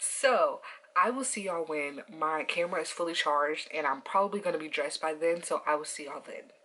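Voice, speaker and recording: A woman speaks at a fairly quick pace, her loudness swinging widely against noticeable background noise. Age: 20s. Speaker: vlogger. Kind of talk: casual vlog talk to camera. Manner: chill, mellow.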